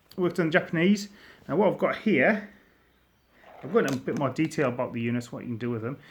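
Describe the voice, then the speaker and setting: At a fairly quick pace, a man talks in a fairly high pitch with very wide pitch swings. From northern England, near Durham. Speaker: miniature wargaming hobbyist. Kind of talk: casual show-and-tell video. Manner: casual, slightly halting.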